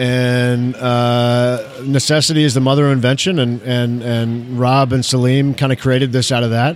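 A man with an American accent speaks at medium pitch and a moderate pace, in a monotone, flat intonation with very even loudness. Noticeable background noise sits behind him. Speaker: emergency physician and educator, former actor. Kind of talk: casual chat. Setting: recording in a bar or restaurant.

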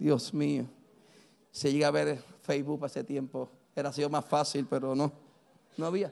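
Against a quiet background, a man with a fairly high voice talks at a moderate pace with fairly even intonation and long, frequent pauses. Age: 50s. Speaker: pastor. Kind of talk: sermon. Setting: church.

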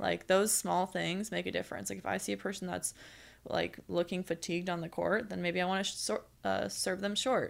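A woman with an American accent at a fairly quick pace, on a very clean recording with a silent background. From United States. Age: 20s. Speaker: professional beach volleyball player. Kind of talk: casual chat.

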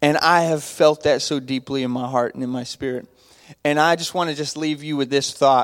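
An ordinary speaking voice from a man with an American accent, fairly high in pitch, with fairly even intonation at a moderate pace. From Texas, Abilene. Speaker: youth pastor. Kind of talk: church greeting talk. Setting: church with congregation.

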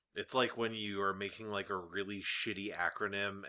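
A man speaks with a fairly low pitch. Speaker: podcast host. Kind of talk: casual chat. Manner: joking, puts on silly voices.

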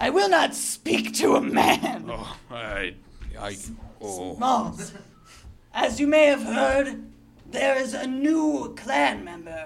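The voice sits at a fairly high pitch and moves at a very slow pace. Long pauses come frequently. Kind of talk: improv comedy. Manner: pompous, formal, condescending.

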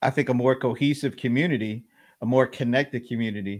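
The speaker has an American accent and talks at a fairly slow pace with fairly even intonation. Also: man. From US South (Atlanta). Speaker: live stream host. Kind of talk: casual interview. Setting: live stream video call.

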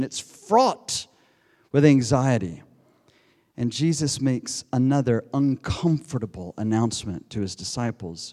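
A man with an American accent at a moderate pace. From United States. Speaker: preacher. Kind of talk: sermon. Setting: church.

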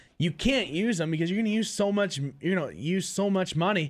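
A man with an Ontario accent talks at a very fast pace and high pitch. The recording is very clean, with a silent background. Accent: Canadian (Ontario). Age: 20s. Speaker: hockey podcast co-host. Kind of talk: casual chat.

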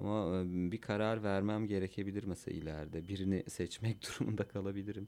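A man's dark, mellow voice with a Kurdish accent. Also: fairly low pitch for a man, fairly even intonation. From Cizre, southeastern Turkey. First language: Kurdish (speaking Turkish). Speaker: musician and school counselor. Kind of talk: casual chat. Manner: halting.

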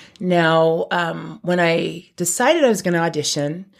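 In a slight New York accent, a woman with a fairly low pitch sounds animated, her intonation lively on a very clean recording with a silent background. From California. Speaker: former choir singer. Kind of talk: interview. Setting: studio.

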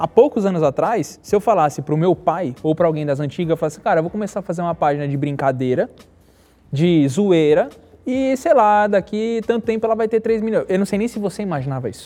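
A man talks very fast at a high pitch, his tone dark and mellow and his intonation lively. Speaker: podcast host. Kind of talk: casual interview. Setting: studio.

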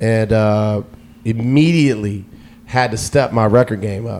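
A man speaks at a fairly slow pace with an American accent, using a plain, everyday voice at a medium pitch. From US South, Atlanta. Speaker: radio DJ. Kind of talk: casual chat.

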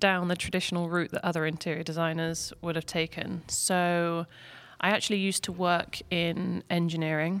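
A woman with an English accent speaks at a moderate pace in a fairly low, monotone voice. The recording is very clean, with a silent background. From England. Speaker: interior designer. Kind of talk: podcast interview. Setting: studio. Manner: hesitant, many fillers.

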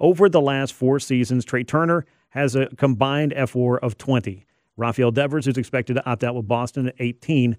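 An ordinary speaking voice from a man with an American accent, fairly quick, with ordinary pitch variation. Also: medium pitch for a man. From Georgia, US South. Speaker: sports radio host. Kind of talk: sports talk radio. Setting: radio studio.

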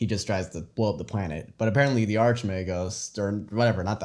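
Dark and mellow, a man's voice sits at a medium pitch with ordinary pitch variation. His tone is playful. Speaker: podcast co-host, tabletop wargamer. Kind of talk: casual banter chat. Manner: joking, playful.

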